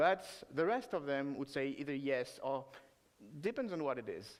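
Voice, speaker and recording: Speaking fairly slowly, a man talks with a French accent. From France. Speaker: software developer, conference speaker. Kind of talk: conference talk. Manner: halting, many filler sounds.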